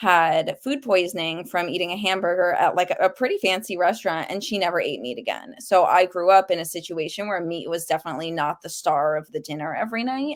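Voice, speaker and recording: The recording is very clean, with a silent background. A woman with a New York accent speaks at medium pitch with ordinary pitch variation. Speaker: cookbook author. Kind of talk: podcast interview. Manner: casual, frequent 'like' fillers.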